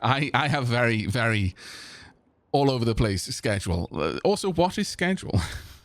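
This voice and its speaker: A man with a South Welsh accent speaks at a moderate pace and a medium pitch, with very wide pitch swings. The recording is very clean, with a silent background. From South Wales (Senghenydd, Caerphilly area). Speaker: streamer playing video games. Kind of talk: live game stream chat. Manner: halting, many repeated words.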